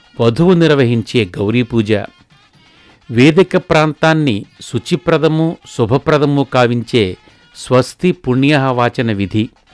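Over music in the background, a man speaks at medium pitch with ordinary variation and very even loudness, the sound dry and close with no echo. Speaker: wedding commentator. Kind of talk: live wedding commentary promo.

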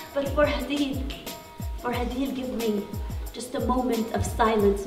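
A woman speaks at a very slow pace, her fairly high voice holding a fairly even intonation. Clear music plays in the background. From Palestinian. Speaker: spoken word poet and activist. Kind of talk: poetry reading. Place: hall. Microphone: handheld.

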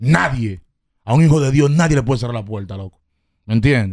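A man with a Dominican accent at a fairly quick pace, with ordinary pitch variation, a dry sound with no echo and a quiet background. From Dominican Republic, Herrera; Dominican Republic. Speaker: rapper; podcast guest. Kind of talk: casual interview; interview answer. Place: studio. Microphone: studio mic.

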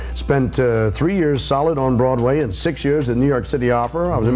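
Faint music sits in the background as a man talks at a very fast pace with ordinary pitch variation. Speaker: voice teacher guest. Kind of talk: interview answer. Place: studio. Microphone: lapel.

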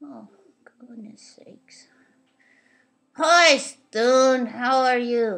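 A cartoonish, female-sounding character voice speaks at a high pitch and a very slow pace. Long, frequent pauses break up the lines. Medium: puppet show. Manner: exasperated, then politely playful.

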